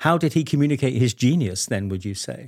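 A man in a British accent, fairly quick pace and very wide pitch swings, in a dry, close sound with no echo. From Britain. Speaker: podcast host. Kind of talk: interview.

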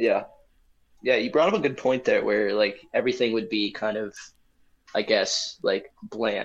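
This man talks at a moderate pace, breaking often with long pauses. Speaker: podcast co-host. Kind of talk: casual banter chat. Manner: relaxed, slangy.

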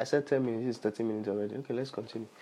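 A man with a Nigerian accent talks at a fairly quick pace. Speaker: podcast host and preacher. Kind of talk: sermon / Bible teaching.

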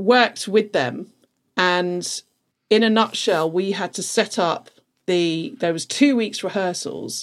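On a very clean recording with a silent background, a woman with a London accent speaks very slowly at a medium pitch with ordinary pitch variation. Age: 40s. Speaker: events production manager. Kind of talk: casual chat.

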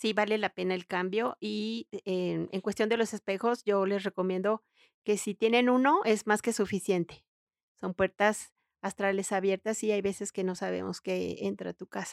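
A woman at medium pitch and moderate pace, fairly even intonation, dry and close with no echo, on a very clean recording with a silent background. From Mexico. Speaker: feng shui consultant and interior decorator. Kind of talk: interview.

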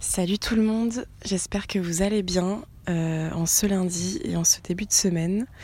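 Speaking at a fairly slow pace, a woman has a medium-pitched, somewhat breathy voice with a dark, mellow tone and ordinary pitch variation. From France, Bassin d'Arcachon. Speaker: educational coordinator. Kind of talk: casual voice messages.

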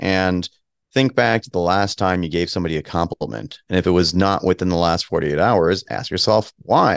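Against a quiet background, a man with a very deep, low pitch talks at a moderate pace, the sound dry and close with no echo. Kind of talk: interview. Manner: fluent.

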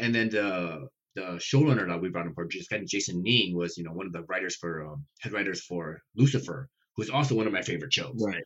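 A man's very deep, low voice at a fairly quick pace, with lively intonation. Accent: American. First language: not English (immigrated at age five). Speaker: science fiction author. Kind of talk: casual chat.

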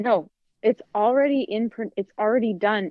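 An unremarkable speaking voice from a woman with an American accent, medium pitch, moderate pace and ordinary pitch variation. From US Midwest. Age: 30s. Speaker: podcast co-host, teacher and yoga instructor. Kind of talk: casual chat.

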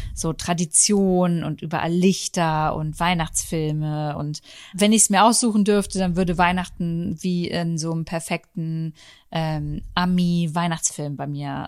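A woman speaks at a fairly slow pace in an ordinary speaking voice, fairly low in pitch with fairly even intonation. The recording is very clean, with a silent background. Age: 30s. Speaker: podcast host. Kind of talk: casual chat. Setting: at home on the sofa.

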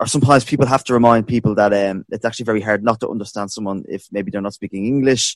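In an Irish accent, a man talks at a very fast pace with ordinary pitch variation. The recording is very clean with a silent background, and the sound is dry and close with no echo. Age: 30s. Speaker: podcast host for amateur theatre group. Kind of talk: interview.

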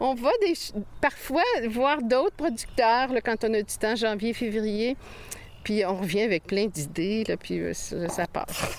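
A woman speaks at a very slow pace with a fairly high pitch and lively intonation. Noticeable background noise runs behind her. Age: 60s. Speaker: farmer. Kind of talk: interview.

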